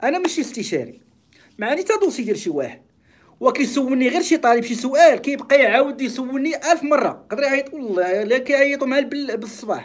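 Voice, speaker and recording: A man talks at a fairly quick pace in an extremely high voice with an animated tone. His pitch varies in an ordinary way against a quiet background. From Morocco. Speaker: YouTuber and accounting teacher; YouTuber, accounting teacher. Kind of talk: live stream monologue. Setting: live stream. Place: office. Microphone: phone near.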